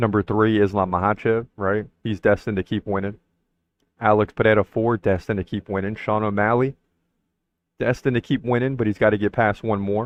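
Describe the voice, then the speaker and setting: At a fairly quick pace, a man with a fairly low pitch speaks in a monotone, flat intonation. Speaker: MMA podcast host. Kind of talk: solo podcast commentary. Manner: fast.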